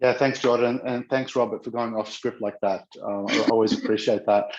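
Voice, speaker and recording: A man with an Australian accent, talking at a moderate pace. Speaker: customer solutions lead. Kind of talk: panel discussion.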